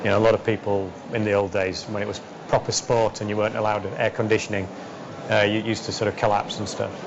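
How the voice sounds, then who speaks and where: Very fast and monotone with flat intonation, the speech comes in a Yorkshire accent against noticeable background noise. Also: man, fairly low pitch for a man. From West Yorkshire, England. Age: 40s. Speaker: entrepreneur and racing driver. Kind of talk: interview answer.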